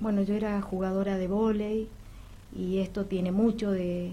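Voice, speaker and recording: A woman's dark, mellow, somewhat breathy voice stays monotone and flat, with audible room echo around it. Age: 60s. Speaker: amateur newcom player. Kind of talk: radio interview.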